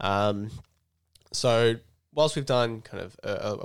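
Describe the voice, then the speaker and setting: A man speaks with an Australian accent and ordinary pitch variation in a very clean recording with a silent background. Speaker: conservation bush crew worker and podcast co-host. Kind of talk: casual chat.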